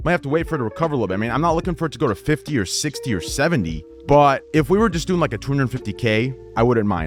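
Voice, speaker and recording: Over music in the background, a man rushes along at a very fast pace with very wide pitch swings. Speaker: Twitch streamer. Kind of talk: casual livestream chat. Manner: casual, profanity-laced.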